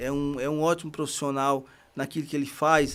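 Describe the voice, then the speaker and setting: A man talks with a fairly high pitch. The background is silent and the recording very clean. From Bahia backlands, northeastern Brazil. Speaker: construction worker and reading project founder. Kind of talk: podcast interview. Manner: halting, with frequent fillers.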